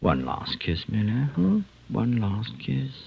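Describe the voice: Slow and put-on, a man's character voice sits fairly low with very wide pitch swings, vocal fry and a slightly husky edge.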